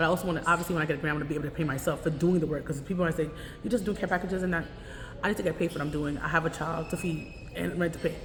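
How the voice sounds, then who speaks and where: A woman with a fairly low pitch is heard over noticeable background noise, with audible room echo. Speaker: vlogger, homeless advocate. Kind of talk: casual vlog monologue. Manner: fast; speaking loud over surroundings.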